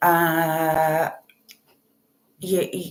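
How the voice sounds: A woman is speaking. Audible room echo surrounds her voice.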